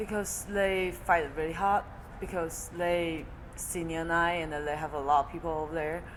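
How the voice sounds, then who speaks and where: A woman with a Chinese accent, fairly low pitch and moderate pace, in audible room echo. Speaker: college volleyball player. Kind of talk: interview. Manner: halting.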